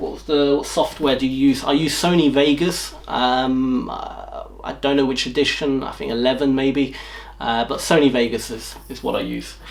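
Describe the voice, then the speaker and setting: With a southern English accent, a man is talking. There is noticeable background noise. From England, north of London. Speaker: YouTuber. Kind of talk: Q&A video, casual talk to camera. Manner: hesitant, many fillers and repetitions.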